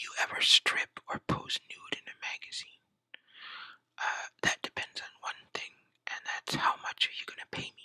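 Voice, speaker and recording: A whisper at a moderate pace. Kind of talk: ASMR whisper Q&A survey. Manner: whispered.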